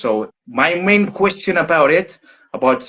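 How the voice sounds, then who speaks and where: The speaker has a Greek accent. Pitch variation is ordinary. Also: man. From Greece. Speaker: soccer strength and conditioning coach. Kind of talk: live stream question. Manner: halting.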